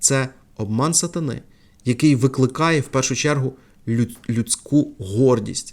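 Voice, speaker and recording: In a very clean recording with a silent background, a man talks at a fairly slow pace and medium pitch, with ordinary pitch variation and long, frequent pauses. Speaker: preacher. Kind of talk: sermon.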